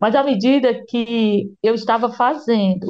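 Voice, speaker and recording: The voice belongs to a woman with a fairly high pitch. Her pitch varies in an ordinary way. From Ceará, Brazil. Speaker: journalist and author. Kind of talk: interview. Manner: halting, many repetitions and fillers.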